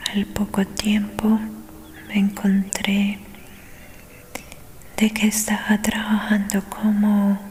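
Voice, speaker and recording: Noticeable background noise sits behind a soft-spoken woman with a gentle tone, a medium pitch and monotone, flat intonation. She talks at a very slow pace, leaving long, frequent pauses. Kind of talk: soft whispered audiobook reading for ASMR. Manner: soft-spoken, gentle.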